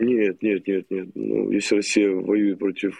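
Fairly low in pitch, a man speaks with a dark, mellow tone and a monotone, flat intonation. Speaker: military contractor veteran. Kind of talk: casual chat. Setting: remote call.

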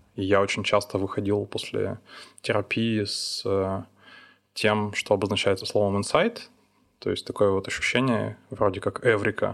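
Speaking at a fairly slow pace with long, frequent pauses, a man is heard on a very clean recording with a silent background. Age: 30s. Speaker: podcast host. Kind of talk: casual chat.

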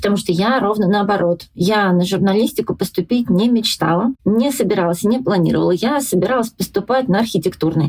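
At a fairly quick pace, a woman speaks in a somewhat breathy, medium-pitched voice with ordinary pitch variation and very even loudness. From Russia, Yelets and Voronezh. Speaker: journalist and blogger. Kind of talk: casual interview chat.

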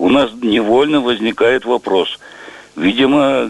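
Amid noticeable background noise, a man speaks at a very slow pace. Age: 70s. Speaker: caller. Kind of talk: radio call-in.

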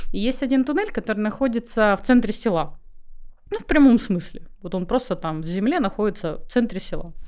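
This woman has a fairly high pitch and lively intonation. It is an unremarkable speaking voice. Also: fairly quick pace. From Crimea. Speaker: winemaker. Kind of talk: interview.

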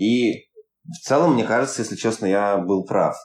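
Against a quiet background, a man speaks at a moderate pace with a normal speaking voice and ordinary pitch variation. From Urals, Russia (Yekaterinburg). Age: 30s. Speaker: film producer and startup founder. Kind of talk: podcast interview. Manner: casual, filler-heavy.

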